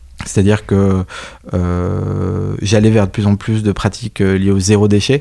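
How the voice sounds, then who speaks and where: A man's dark, mellow voice, fairly low in pitch, at a fairly slow pace. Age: 30s. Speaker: entrepreneur, company founder. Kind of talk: interview. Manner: hesitant, many fillers and repetitions.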